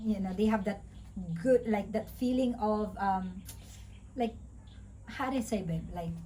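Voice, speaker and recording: Fairly slow speech with vocal fry in a Visayan Filipino accent, fairly even in intonation, with long, frequent pauses. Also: woman, fairly high pitch for a woman. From Philippines, Visayas. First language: Bisaya (Cebuano). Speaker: vlogger. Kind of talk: casual chat. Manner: halting, stuttering.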